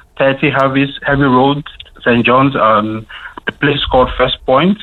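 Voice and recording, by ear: A man talks at medium pitch and a moderate pace. His intonation stays fairly even.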